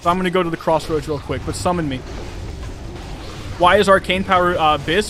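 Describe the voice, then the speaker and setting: A fairly high-pitched man with an American accent, fairly even intonation and a fairly quick pace, over noticeable background noise. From United States. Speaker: gaming streamer. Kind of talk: live stream chat. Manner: casual.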